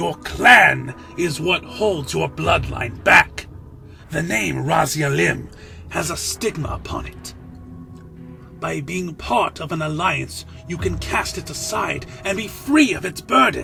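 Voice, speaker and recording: A man puts on a raspy character voice at a fairly slow pace. Clear music plays in the background. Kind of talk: audio drama dialogue.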